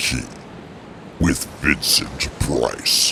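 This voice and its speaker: Over clear background noise, a man puts on a character voice. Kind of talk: comic overacting. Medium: solo performance. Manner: jokey, rambling, self-interrupting.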